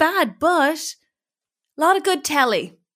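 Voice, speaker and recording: A woman with an Irish accent uses a raised, projected voice in a bright, sharp tone. She speaks at a very slow pace with lively intonation. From Ireland. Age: 30s. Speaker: comedian. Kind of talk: casual interview chat.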